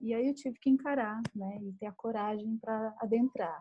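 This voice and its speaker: The recording is dry and close, with no echo. This woman's tone is dark and mellow. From Brazil, Minas Gerais. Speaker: writer and podcast co-host. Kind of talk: casual chat.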